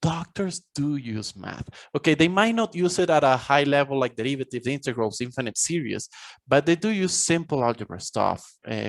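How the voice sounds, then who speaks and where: A man with a Spanish accent talks at a fairly quick pace and a fairly high pitch, the sound dry and close with no echo. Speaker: college professor and author. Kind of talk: podcast interview.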